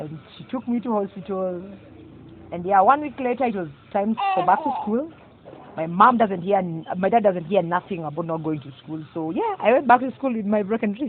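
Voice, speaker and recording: Amid noticeable background noise, a woman speaks at a moderate pace with lively intonation, big swings in loudness and long, frequent pauses. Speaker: guest sharing personal story. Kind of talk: testimony.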